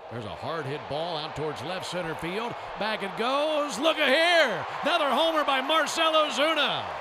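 This man's raised, projected voice sits at an extremely high pitch with very wide swings, moving at a moderate pace with hardly any pauses over noticeable background noise. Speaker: color commentator or second announcer. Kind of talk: live sports commentary, play-by-play. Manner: steady, matter-of-fact game updates.

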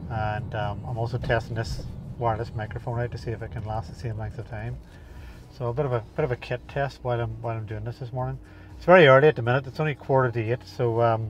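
In a dry recording with no echo, a man speaks at a very fast pace, sounding somewhat breathy, with ordinary pitch variation. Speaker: runner vlogger. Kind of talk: casual vlog chat. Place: car. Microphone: lapel.

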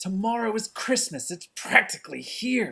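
It's a put-on character voice that sounds female. The pitch is fairly high. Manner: snarling, sneering.

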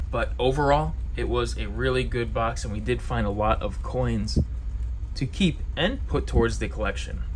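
Noticeable background noise behind speech of moderate pace. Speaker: coin collecting YouTuber. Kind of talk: casual vlog narration. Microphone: phone near.

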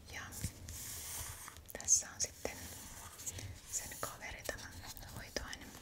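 A woman at a very slow pace, with long, frequent pauses. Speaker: ASMR creator. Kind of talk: ASMR shopping haul. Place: home room.

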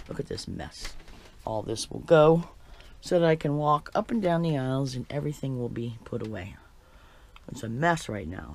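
The speech moves at a moderate pace. Light background noise is present. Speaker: RV dweller vlogger. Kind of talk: casual vlog chat. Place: home room. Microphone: phone near.

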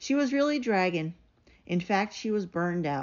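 Speaking at a moderate pace, a woman uses medium pitch and lively intonation.

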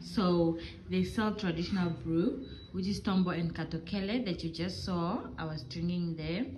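Somewhat breathy, a woman with a fairly low pitch speaks with ordinary pitch variation over light background noise. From Namibia. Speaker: vlogger. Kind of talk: casual vlog narration. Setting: outdoors in a village. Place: shop. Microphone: phone near.

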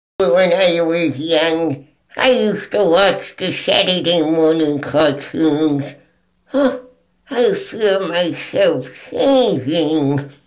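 A man puts on a character voice, high in pitch and lively in intonation, delivered at a very slow pace.

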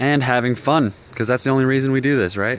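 Here is a plain, everyday voice from a man at medium pitch. He talks fairly quickly with an American accent. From Colorado. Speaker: YouTuber, cactus grower. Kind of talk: casual video walkthrough. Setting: in a greenhouse. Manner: casual, relaxed.

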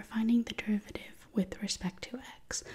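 A soft-spoken voice at a moderate pace. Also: woman. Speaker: math tutor. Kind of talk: soft-spoken tutorial. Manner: soft-spoken, hushed close-mic explanation. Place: home room. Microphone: studio mic.

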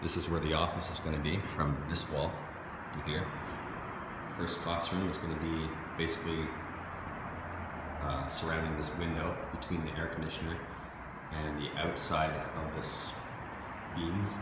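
Loud background noise and audible room echo surround this man's voice. His speech has long, frequent pauses. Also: moderate pace. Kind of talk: casual walkthrough narration. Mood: pleased, relaxed. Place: empty room. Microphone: phone near.

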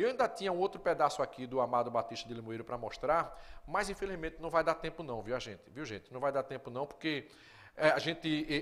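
A man's fairly high voice at a very fast pace, lively in intonation, with big swings in loudness. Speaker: TV show host. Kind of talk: live TV presenting. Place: studio. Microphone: lapel.

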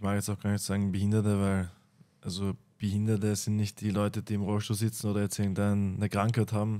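A man with a dark, mellow tone speaks at a fairly quick pace in a fairly low pitch, his intonation monotone and flat. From Lower Austria. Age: 30s. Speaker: MMA fighter; podcast guest. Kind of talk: casual chat. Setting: studio. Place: studio. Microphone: studio mic.

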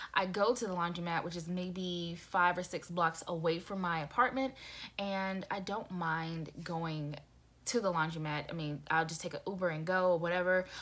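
At a moderate pace, a woman speaks with fairly even intonation. Her pitch sits fairly low. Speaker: vlogger. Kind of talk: casual vlog chat. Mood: venting, frustrated but laughing. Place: home room. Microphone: phone near.

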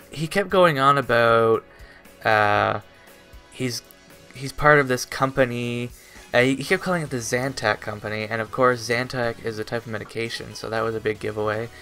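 A man at a moderate pace, faint music in the background. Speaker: vlogger. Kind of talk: casual vlog storytelling. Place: home room.

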